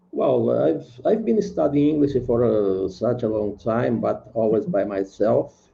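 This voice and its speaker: Speaking at a fairly slow pace with a Brazilian Portuguese accent, this man keeps his loudness very even. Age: 70s. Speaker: retired singer, English learner. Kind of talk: language lesson conversation. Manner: halting.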